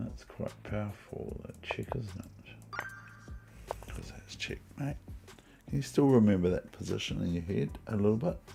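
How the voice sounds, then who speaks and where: A man talks at a moderate pace with a New Zealand accent. Music plays in the background. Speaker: chess streamer. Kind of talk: live stream commentary. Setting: at home.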